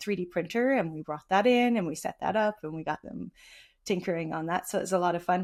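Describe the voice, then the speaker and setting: A woman with a medium-pitched voice is heard on a very clean recording against a silent background. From Ireland. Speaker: engineering manager. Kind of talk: podcast interview. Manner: frequent fillers, casual.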